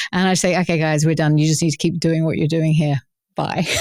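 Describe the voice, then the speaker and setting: A woman speaks in a dry, close sound with no echo. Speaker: author and leadership coach. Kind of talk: interview. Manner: halting, many repeated words.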